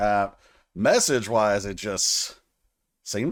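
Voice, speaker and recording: A man's fairly low voice with a Southern US accent, in a very clean recording with a silent background. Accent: Southern drawl. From US South, Tennessee. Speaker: music reaction youtuber. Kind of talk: casual music reaction commentary. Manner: animated.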